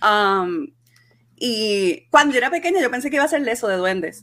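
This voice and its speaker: Music plays in the background as a woman speaks at a fairly slow pace. Her fairly high voice moves in very wide pitch swings. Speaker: podcast co-host. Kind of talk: casual banter about a movie.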